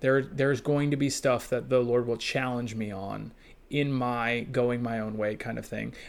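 A man with a plain, everyday voice talks at a moderate pace in a medium pitch, his intonation fairly even. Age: 30s. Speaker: church consultant. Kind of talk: casual chat.

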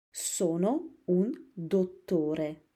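A woman's dark, mellow tone sits at a medium pitch. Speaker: Italian teacher. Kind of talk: language lesson. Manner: slow, repetitive.

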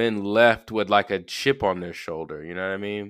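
A man with a Southern US accent speaks in a fairly low voice. The recording is very clean, with a silent background. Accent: Southern US (Georgia). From US South, Georgia. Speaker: podcast host. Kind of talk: casual solo monologue. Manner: casual, filler-heavy.

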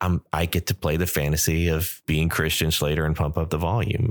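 This man's voice is very deep and low. He talks at a moderate pace. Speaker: podcast host. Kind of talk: personal monologue.

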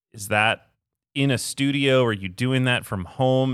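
A man talks at a moderate pace with ordinary pitch variation. He has an unremarkable speaking voice. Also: very clean recording, silent background. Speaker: podcast host. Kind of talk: casual interview conversation. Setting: in-person studio recording.

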